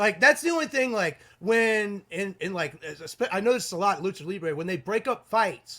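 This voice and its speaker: Speaking at a moderate pace with hardly any pauses, a man uses a raised, projected voice that is high-pitched, bright and sharp, with lively intonation. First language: not English (English is third language). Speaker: wrestling podcast co-host. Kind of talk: casual chat.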